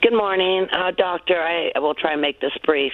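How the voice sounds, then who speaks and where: A woman keeps a moderate pace and ordinary pitch variation, with noticeable background noise around her. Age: 70s. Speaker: caller. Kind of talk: call-in question. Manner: halting.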